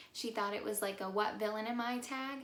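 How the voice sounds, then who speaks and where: Through audible room echo and noticeable background noise, a woman with a fairly high voice talks at a fairly quick pace. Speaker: YouTuber. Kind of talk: casual vlog chat. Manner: many filler ums.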